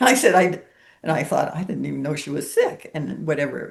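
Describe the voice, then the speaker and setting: A woman speaks at a moderate pace. Her very deep, low voice has vocal fry. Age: 70s. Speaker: spiritual healer sharing her story. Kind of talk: interview testimony.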